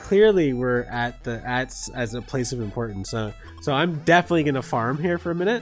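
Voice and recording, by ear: Fairly quick speech with music in the background.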